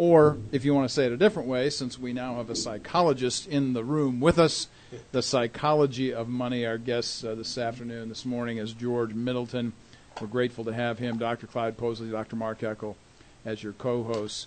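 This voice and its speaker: This man has a normal speaking voice, medium in pitch, with fairly even intonation at a moderate pace. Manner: warm, formal, polished radio-announcer delivery with a steady promotional rhythm.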